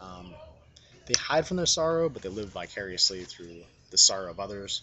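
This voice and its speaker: Over noticeable background noise, a man talks fairly quickly in a very deep, low voice. His pitch varies in an ordinary way. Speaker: tabletop role-playing game enthusiast. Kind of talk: casual rambling talk about a role-playing game. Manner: hesitant, many filler words.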